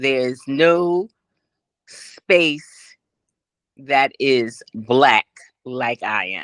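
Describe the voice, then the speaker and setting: Very slow speech in a New York accent, with a dry, close sound, no echo and a quiet background. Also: woman. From New York City, the Bronx. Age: 60s. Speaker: interview guest living with vitiligo. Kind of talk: casual interview.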